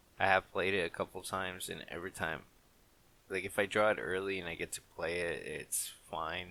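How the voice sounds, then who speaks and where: Quiet and bright, sharp in tone, a man speaks at a moderate pace with a very deep, low pitch and flat, monotone intonation. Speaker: gaming content creator. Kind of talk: gameplay commentary. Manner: quiet, with long pauses; halting.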